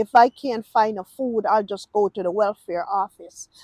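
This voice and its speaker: The speaker has an American accent. The sound is dry and close, with no echo. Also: woman. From Jamaica. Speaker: YouTuber giving reaction commentary. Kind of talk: casual reaction monologue. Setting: outdoors, walking in a park.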